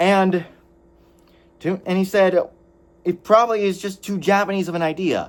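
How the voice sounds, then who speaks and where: A loud man with a high pitch speaks in fairly even intonation, recorded very cleanly against a silent background. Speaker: anime reviewer. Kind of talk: video review monologue. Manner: halting, self-correcting.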